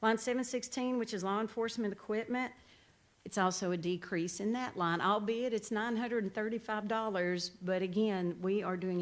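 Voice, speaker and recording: A woman's voice sits at a medium pitch with ordinary pitch variation. She speaks at a fairly quick pace. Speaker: sheriff's office staff presenting budget. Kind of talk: budget presentation at committee meeting. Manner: fast when excited.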